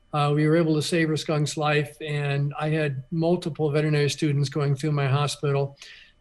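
A somewhat breathy, fairly high-pitched man's voice with an American accent, monotone and flat, at very even loudness and with hardly any pauses. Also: fairly quick pace. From Florida Keys. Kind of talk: radio interview.

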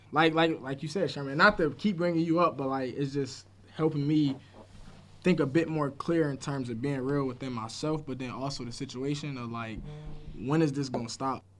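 With an American accent, a man speaks in an unremarkable speaking voice at a fairly high pitch, a moderate pace and ordinary pitch variation. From Buffalo, New York. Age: 20s. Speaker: youth sports program manager. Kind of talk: casual chat.

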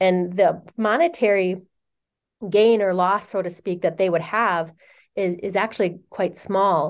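Against a quiet background, a woman with an American accent uses an ordinary speaking voice at a medium pitch, speaking fairly slowly with fairly even intonation. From Wisconsin, Oneida Reservation near Green Bay. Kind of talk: interview.

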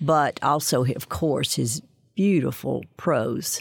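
A woman with an Alabama accent speaks very slowly in a very deep, low voice with vocal fry, recorded dry and close with no echo. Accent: Southern US (Alabama). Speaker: author and former professor. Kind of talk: interview. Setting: studio.

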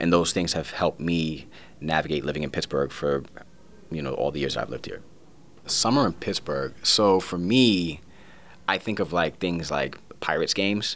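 A man's very deep, low voice with vocal fry and long, frequent pauses. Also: ordinary pitch variation, moderate pace. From New York (Brooklyn), Puerto Rican descent. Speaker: community outreach director. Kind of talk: casual interview.

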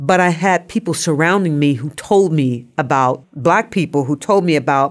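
A woman with an American accent speaks at a moderate pace in a plain, everyday voice, fairly low in pitch with lively intonation. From US Midwest, Nebraska, military family. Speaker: social work professor. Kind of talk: interview.

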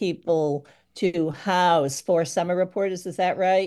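A woman with a New England accent speaks at a moderate pace at a fairly low pitch, her tone dark and mellow over a quiet background. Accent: New England American. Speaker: retired newspaper editor and publisher. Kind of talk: radio roundtable discussion.

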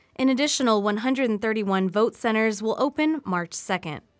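A woman talks at a fairly quick pace in a normal speaking voice, fairly high in pitch with lively intonation. The recording is very clean, with a silent background. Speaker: radio news anchor. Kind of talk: radio newsreading, scripted headlines. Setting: radio studio. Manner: formal, even-paced, neutral.

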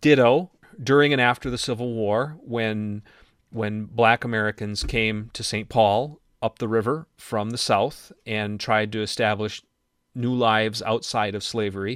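A man with an Upper Midwest accent, medium in pitch, fairly slow and fairly even in intonation. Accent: Upper Midwest (Minnesota). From Minnesota, Iron Range. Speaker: radio show founder and commentator. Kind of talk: conversational political discussion. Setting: remote recording.

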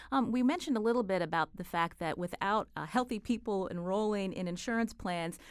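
A plain, everyday voice with ordinary pitch variation moves at a fairly quick pace over a very clean recording with a silent background. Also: woman. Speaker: radio host. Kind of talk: radio interview. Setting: studio.

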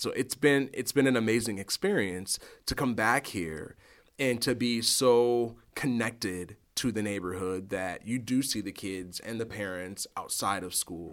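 In an American accent, a man with an ordinary speaking voice talks at a fairly slow pace, with a medium pitch and ordinary pitch variation. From Rockford, Illinois, US Midwest. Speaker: middle school principal. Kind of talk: interview. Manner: many fillers and repetitions.

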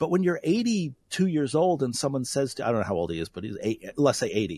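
Somewhat breathy and fairly high, a man's voice swings very widely in pitch on a very clean recording with a silent background. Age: 50s. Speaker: philosophy professor. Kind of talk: radio interview.

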